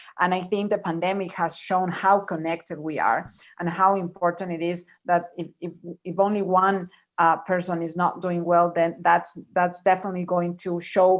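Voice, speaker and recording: Her pitch is fairly low and her delivery monotone and flat. The woman talks at a moderate tempo. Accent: Spanish. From Ecuador. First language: Spanish. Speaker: panelist. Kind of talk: panel discussion. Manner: halting, many repetitions.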